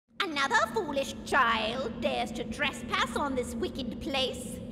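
A female-sounding voice uses a put-on character voice, high in pitch at a fairly slow pace. Loud background noise runs underneath. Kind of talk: spooky Halloween prop dialogue. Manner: menacing, gleeful, cackling.

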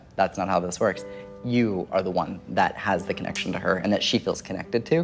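A man talks at a very fast pace with ordinary pitch variation, faint music playing in the background. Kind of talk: reading delivered to a sitter, conversational. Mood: warm, earnest, smiling. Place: home room.

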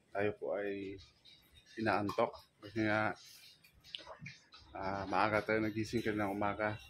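Amid light background noise, a man with a fairly low pitch speaks at a fairly slow pace in a monotone, flat intonation with long, frequent pauses. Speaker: island life vlogger. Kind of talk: casual talk to camera, vlog narration. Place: home room. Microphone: phone near.

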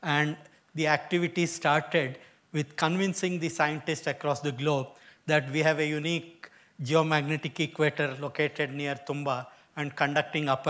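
A man's flat, monotone voice at a moderate pace. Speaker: guest lecturer. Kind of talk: lecture. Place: hall.

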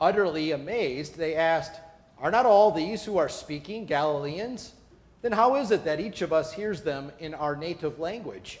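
With lively intonation, a man delivers his words at a moderate pace. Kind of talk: scripture reading. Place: church.

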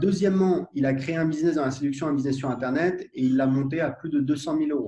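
A man with a fairly high, somewhat breathy voice and a dark, mellow tone speaks fairly quickly with ordinary pitch variation. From France, Paris suburbs (Gennevilliers); France. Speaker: entrepreneur, software founder; interviewee. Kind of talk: casual interview conversation. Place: home room. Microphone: video call.

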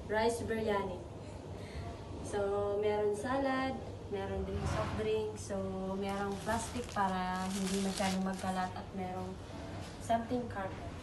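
A woman at a fairly slow pace, with long, frequent pauses and noticeable background noise. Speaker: vlogger. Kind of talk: casual vlog chat.

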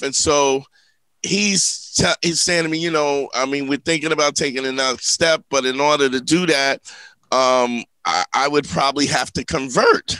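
A man speaks at a moderate pace in a bright, sharp tone, his voice dry with no echo against a quiet background. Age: 50s. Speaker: comedian and relationship advice podcast host; comedian, relationship advice podcast host. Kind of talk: casual comedic podcast chat. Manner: animated. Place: studio. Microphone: studio mic.

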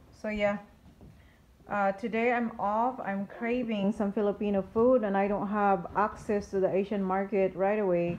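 At a moderate pace, a woman speaks with monotone, flat intonation. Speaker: food vlogger. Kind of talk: casual vlog chat. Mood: relaxed, hesitant pauses. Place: home room. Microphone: phone near.

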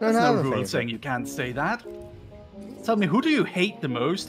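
Male speech at a moderate pace with very wide pitch swings, music in the background. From not British. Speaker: streamer playing a game with a co-streamer.

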